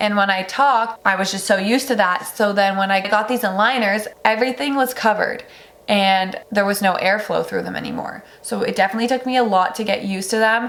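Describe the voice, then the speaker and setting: Fairly high in pitch, a woman talks at a fairly quick pace with hardly any pauses. Her intonation is fairly even, and background noise is noticeable. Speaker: beauty and lifestyle vlogger. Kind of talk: casual product review vlog. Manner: chatty, many fillers like 'like'.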